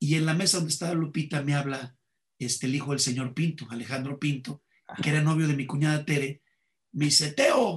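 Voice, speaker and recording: A man talks at a fairly quick pace in a fairly high, somewhat breathy voice. His intonation stays fairly even. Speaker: comedian. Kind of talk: interview conversation.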